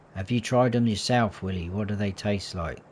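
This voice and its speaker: Against a quiet background, a man with a southern English accent speaks in a relaxed, somewhat breathy tone at a fairly low pitch, with ordinary pitch variation. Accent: southern English, taken for a Londoner. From southern England, Hampshire. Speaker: gaming livestreamer. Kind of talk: casual live gameplay commentary. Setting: livestream. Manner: relaxed, chatty.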